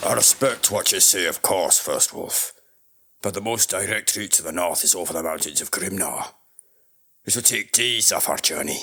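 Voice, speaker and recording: Using a put-on character voice, a man speaks at a moderate pace. The voice is raspy and fairly low in pitch. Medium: audio drama. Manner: confident, brash.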